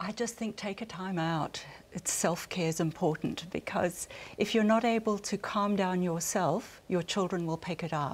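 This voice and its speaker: A woman speaks at a medium pitch with a slight South African accent on a very clean recording with a silent background. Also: ordinary pitch variation, moderate pace. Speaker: family relationship counsellor. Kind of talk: panel discussion.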